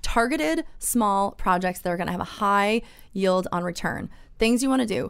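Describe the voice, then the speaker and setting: A woman with an American accent speaks at a moderate pace in an unremarkable speaking voice, medium in pitch, with lively intonation. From US East Coast. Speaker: real estate agent, reality TV cast member. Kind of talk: casual interview.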